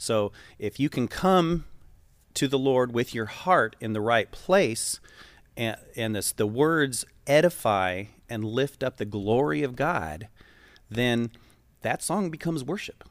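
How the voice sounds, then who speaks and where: An American-accented man speaks at a very slow pace with long, frequent pauses. His medium-pitched voice moves in very wide pitch swings. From US West, western Colorado. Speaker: church worship leader. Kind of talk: casual interview.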